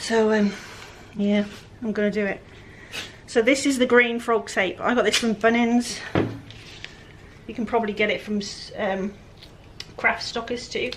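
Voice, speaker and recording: A woman's fairly high-pitched, monotone, flat voice over noticeable background noise. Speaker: furniture flipper. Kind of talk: tutorial. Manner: casual, chatty.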